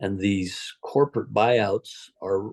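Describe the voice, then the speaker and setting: Fairly low male voice, dry and close with no echo, over a quiet background. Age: 60s. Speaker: equine veterinarian. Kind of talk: casual chat. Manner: halting.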